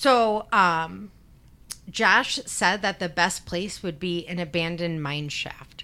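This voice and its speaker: With ordinary pitch variation, a woman speaks in a bright, sharp tone. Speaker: true crime podcast host. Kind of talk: casual chat then narrated case retelling. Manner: casual, profane, chatty.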